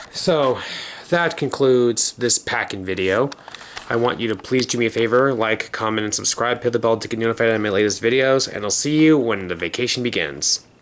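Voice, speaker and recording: A man talks at a fairly quick pace and medium pitch, with ordinary pitch variation and noticeable background noise. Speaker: vlogger. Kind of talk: casual vlog.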